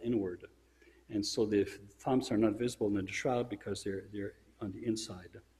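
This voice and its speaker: The somewhat breathy voice moves at a moderate pace. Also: man. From Europe. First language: French. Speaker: church speaker; speaker. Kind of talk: sermon-style religious presentation; lecture. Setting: church. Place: church.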